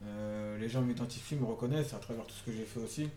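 A man with a medium-pitched voice and fairly even intonation is heard amid audible room echo and noticeable background noise. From Paris suburbs, France. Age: 30s. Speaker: social worker. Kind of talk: interview. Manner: halting.

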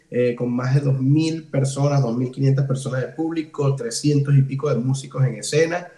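A man with a fairly high pitch talks at a fairly slow pace in a monotone, flat intonation with hardly any pauses. Noticeable background noise is present. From Venezuela, Ciudad Guayana. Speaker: cuatro musician. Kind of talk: casual interview. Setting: host's home.

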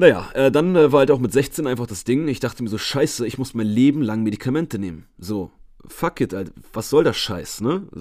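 A man with a plain, everyday voice speaks at a medium pitch and a moderate pace. His intonation is lively, and the recording is very clean with a silent background. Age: 20s. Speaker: fitness coach and podcaster. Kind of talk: solo podcast monologue. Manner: casual, chatty.

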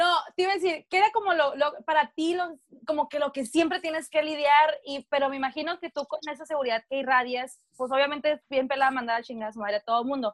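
A woman with a high voice talks at a very fast pace with hardly any pauses, ordinary pitch variation and a dry, close sound with no echo. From northern Mexico. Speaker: podcast co-host. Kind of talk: casual chat.

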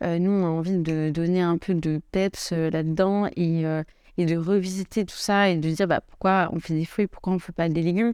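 A woman with a plain, everyday voice talks at a moderate pace and a fairly low pitch, her intonation fairly even over a quiet background. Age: 20s. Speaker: startup co-founder. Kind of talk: casual chat. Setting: office.

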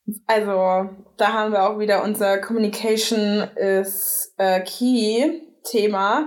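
Speaking at a very slow pace with hardly any pauses, a woman keeps her intonation fairly even and her loudness very even. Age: 30s. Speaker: podcast co-host. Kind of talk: casual chat.

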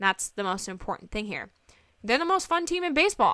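A woman with a slight Southern US accent sounds animated and playful, her bright, sharp tone swinging very widely in pitch. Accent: slight Southern US twang. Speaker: sports podcast host. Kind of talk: casual solo podcast chat. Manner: animated, playful.

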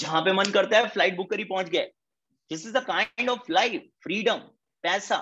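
A man's raised, projected voice, high-pitched, bright and sharp in tone, with ordinary pitch variation at a moderate pace. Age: 20s. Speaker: network marketing leader. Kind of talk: motivational talk. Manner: animated.

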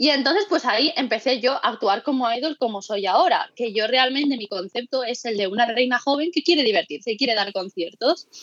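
Her pitch is high as a woman talks at a fairly quick pace with lively intonation and hardly any pauses. The sound is dry and close, with no echo. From Mallorca, Spain. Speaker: amateur idol singer. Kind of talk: casual interview. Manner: talkative.

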